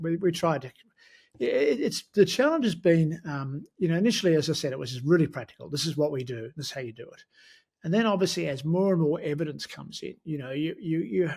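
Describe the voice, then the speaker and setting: In a very clean recording with a silent background, a man with an Australian accent talks fairly quickly at a fairly high pitch, his intonation lively and his loudness swinging widely. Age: 70s. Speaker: sports medicine professor. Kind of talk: interview. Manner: hesitant, many fillers.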